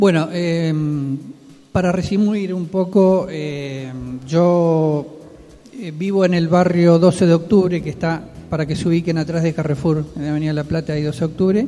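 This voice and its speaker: A man's high voice with a dark, mellow tone, fairly even intonation and a fairly slow pace. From Argentina, Quilmes (Buenos Aires). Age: 60s. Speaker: neighborhood leader. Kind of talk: radio interview.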